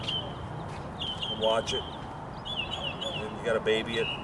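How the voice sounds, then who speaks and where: There is noticeable background noise and audible room echo around the man speaking. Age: 60s. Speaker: paver sealing contractor demonstrating products. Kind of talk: outdoor product demonstration. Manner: casual, halting with fillers.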